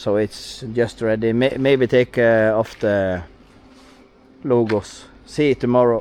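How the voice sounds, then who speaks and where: A man with a Norwegian accent at medium pitch, very slow with fairly even intonation, over noticeable background noise. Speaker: truck owner and vlogger. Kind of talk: casual vlog narration. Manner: halting.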